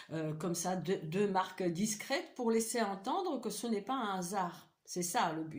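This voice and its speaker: A woman with an Eastern European accent speaks at a medium pitch, fairly slowly, with hardly any pauses. Her voice is somewhat breathy and her intonation lively. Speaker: vlogger. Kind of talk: personal vlog monologue. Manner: halting, many hesitations and repetitions.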